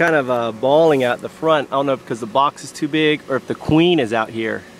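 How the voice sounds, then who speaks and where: A man speaks at a fairly quick pace with ordinary pitch variation, the sound dry with no echo and light background noise behind him. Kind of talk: casual vlog chat. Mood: excited, amused. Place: farm. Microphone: phone near.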